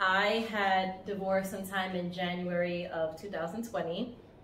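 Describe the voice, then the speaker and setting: Audible room echo surrounds a woman's voice. She speaks at a medium pitch and a moderate pace. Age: 40s. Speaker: lifestyle vlogger. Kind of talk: casual storytelling to camera. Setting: outdoors on vacation by the beach.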